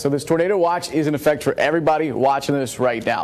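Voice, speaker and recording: Noticeable background noise runs behind the recording. A man with a fairly high pitch speaks at a fairly quick pace. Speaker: TV meteorologist. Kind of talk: TV weather broadcast.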